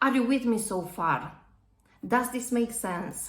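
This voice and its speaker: A woman with a slight non-native accent speaks at a fairly high pitch, her pitch varying in an ordinary way, with audible room echo. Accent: slight foreign. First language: not English. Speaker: public speaking coach, property industry speaker. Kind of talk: tutorial.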